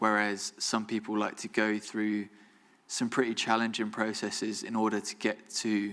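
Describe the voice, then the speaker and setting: A man at a medium pitch, fairly slow and in a monotone, flat intonation. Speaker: photographer, alumni guest speaker. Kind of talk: Q&A after a talk. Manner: mumbling; careful enunciation, occasional stumbles.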